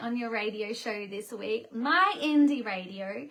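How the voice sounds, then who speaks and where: A woman with an Australian accent raises and projects her voice at a fairly slow pace, with very wide pitch swings, over noticeable background noise. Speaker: singer-songwriter hosting livestream. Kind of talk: casual livestream chat. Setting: bedroom set livestream.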